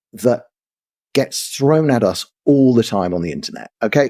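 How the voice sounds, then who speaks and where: In a London accent, a man speaks in an animated tone at a medium pitch with very wide pitch swings. The sound is dry and close, with no echo. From London, England. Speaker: commentator. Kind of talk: interview discussion. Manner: animated, repetitive restarts.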